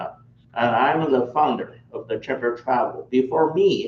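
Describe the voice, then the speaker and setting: Moderately paced speech from a man with a Chinese accent. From China. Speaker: tour operator. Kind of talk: travel orientation presentation.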